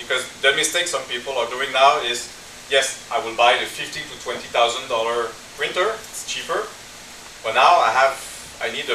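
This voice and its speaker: A man talks at a moderate pace with ordinary pitch variation, audible room echo and noticeable background noise. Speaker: dental equipment sales representative. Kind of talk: product presentation.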